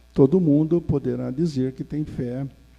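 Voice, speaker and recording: A man speaks at a very slow pace with a dark, mellow tone and ordinary pitch variation. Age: 70s. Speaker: spiritist lecturer. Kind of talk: lecture. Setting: spiritist center, seated before audience. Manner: formal.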